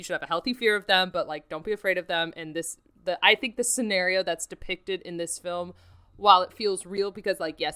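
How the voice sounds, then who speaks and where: A woman talks very fast in a bright, sharp tone at medium pitch. The sound is dry and close with no echo, and the recording is very clean against a silent background. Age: 20s. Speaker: film podcast co-host. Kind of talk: casual film review chat.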